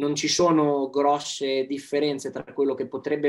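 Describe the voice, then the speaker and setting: A man with a fairly high pitch, speaking at a moderate pace. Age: young. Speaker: athlete. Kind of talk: casual chat.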